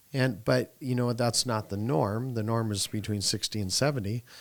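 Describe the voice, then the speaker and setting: In a very clean recording with a silent background, a man with a normal speaking voice talks at a moderate pace and a fairly low pitch, his intonation fairly even. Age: 40s. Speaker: annuity sales coach and podcast host. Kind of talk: casual podcast conversation.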